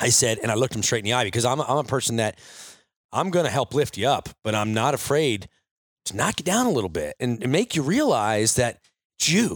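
A man talks at a fairly quick pace with lively intonation, in a normal speaking voice. The sound is dry and close, with no echo. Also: medium pitch for a man. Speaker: podcast co-owner and interviewer. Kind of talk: casual interview chat. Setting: studio office, in person.

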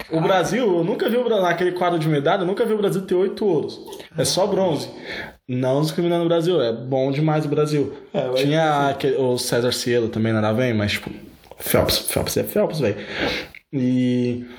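A man talks at a moderate pace with a fairly high pitch, lively intonation and very even loudness. Noticeable background noise and audible room echo fill the recording. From Brazil, São Paulo (Osasco). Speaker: podcast host. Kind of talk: casual chat.

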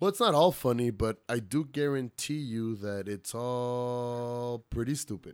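With an American accent, a man talks at a medium pitch and a fairly slow pace, with ordinary pitch variation, hardly any pauses, and a very clean recording with a silent background. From El Paso, Texas. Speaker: stand-up comedian and promoter. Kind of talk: casual chat. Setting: home studio. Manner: animated.

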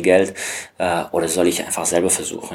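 Very deep and low, a man's voice comes through. He talks at a fairly quick pace. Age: 30s. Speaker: stock photographer. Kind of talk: interview. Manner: hesitant, with filler sounds.

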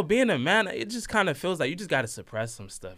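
Speaking at a very fast pace in a raised, projected voice, a man with an American accent uses a high pitch and very wide pitch swings, his tone bright and sharp. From Washington DC, Nigerian family. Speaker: college student. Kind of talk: casual chat.

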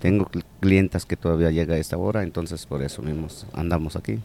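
A man's very deep, low voice with a dark, mellow tone, moving at a fairly quick pace. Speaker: corner shop owner and basketball coach. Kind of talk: interview. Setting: in his shop.

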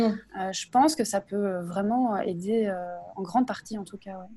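At a moderate pace, the speech comes in an ordinary speaking voice, its intonation fairly even. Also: woman. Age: 30s. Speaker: instagram creator sharing creative explorations. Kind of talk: casual interview.

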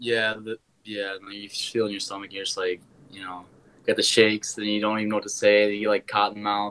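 A man with a fairly low voice and a bright, sharp tone speaks at a fairly quick pace. His intonation is monotone and flat, but his loudness swings widely. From Wisconsin. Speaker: musician. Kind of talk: casual interview.

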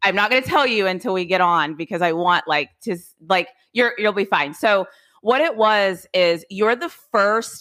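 A woman speaks loudly in an animated, bright and sharp tone, in a very clean recording with a silent background. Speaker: podcast host. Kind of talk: casual conversation interview. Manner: loud, animated.

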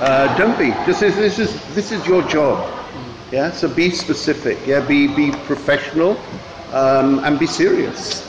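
A man's voice sits fairly high in pitch, with noticeable background noise around it. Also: ordinary pitch variation, fairly slow pace. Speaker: English mentor. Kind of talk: role-play coaching, casual chat.

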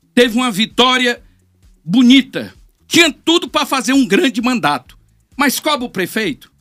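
In a dry, close sound with no echo, a man talks at a moderate pace with an extremely high pitch, a bright, sharp tone, lively intonation and long, frequent pauses. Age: 60s. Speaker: politician. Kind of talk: interview. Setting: studio. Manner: animated.

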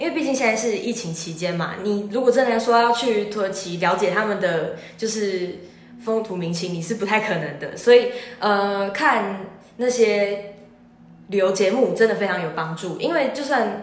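A woman speaks at medium pitch. Audible room echo and noticeable background noise are present. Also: ordinary pitch variation, moderate pace. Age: young. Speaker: university student. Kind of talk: interview.

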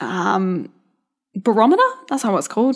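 In a rural Australian accent, a woman speaks at a fairly high pitch with lively intonation. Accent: Australian, country. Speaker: podcast host, mindset and business coach. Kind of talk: solo podcast monologue, casual pep talk. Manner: animated, chatty, upbeat.

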